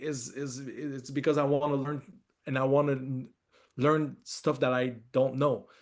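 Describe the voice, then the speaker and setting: Speaking with a strong French accent, a man talks at a fairly slow pace in a fairly high, monotone, flat voice. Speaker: film director. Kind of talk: interview. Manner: halting, many fillers and repeats.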